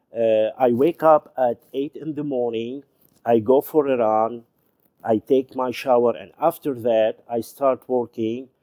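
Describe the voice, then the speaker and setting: In a Lebanese accent, the speaker talks at a fairly slow pace with a dark, mellow tone and fairly even intonation, captured in a dry, close sound with no echo. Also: man, medium pitch for a man. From Lebanon. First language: Arabic. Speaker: YouTube show host, former journalist and TV presenter. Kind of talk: casual storytelling monologue. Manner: halting, with frequent fillers.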